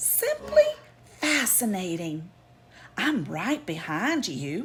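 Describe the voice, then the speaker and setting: At a very slow pace, a woman in a put-on character voice swings her medium pitch very widely. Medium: read story. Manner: wondering, polite.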